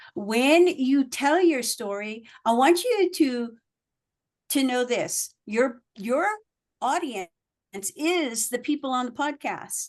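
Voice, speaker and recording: A high-pitched woman's voice with lively intonation and an animated tone, over a quiet background. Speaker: communication coach. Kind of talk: workshop presentation. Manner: varied emphasis.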